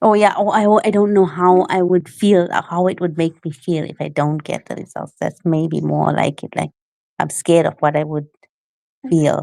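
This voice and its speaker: With a South African accent, a woman speaks at a moderate pace in a fairly low pitch and a dark, mellow tone. Her intonation is fairly even, and the sound is dry and close with no echo. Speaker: aspiring entrepreneur. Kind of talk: casual chat.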